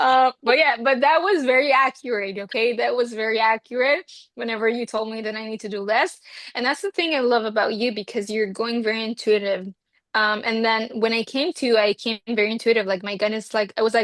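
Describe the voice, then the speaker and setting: A woman with an Israeli accent, fairly high in pitch, at a fairly quick pace with ordinary pitch variation and a dry, close sound with no echo. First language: Hebrew. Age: 20s. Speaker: reiki healer. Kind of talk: interview.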